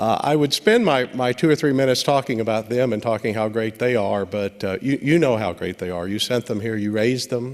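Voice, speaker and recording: A man with a slight Kentucky accent talks at a fairly quick pace. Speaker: law enforcement trainer. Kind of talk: graduation speech. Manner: halting, many fillers.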